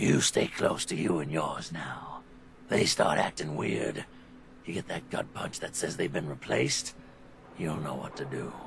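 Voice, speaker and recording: A raspy put-on character voice from a man, very deep and low, at a moderate pace over clear background noise. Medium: game stream. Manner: weary, wary.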